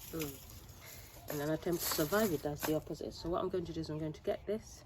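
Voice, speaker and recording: A quiet woman talks very fast with a very deep, low pitch and fairly even intonation. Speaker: home gardener vlogger. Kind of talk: casual gardening vlog narration.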